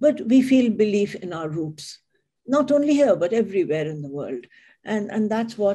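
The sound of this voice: An unforced reading voice is heard with a quiet background behind it.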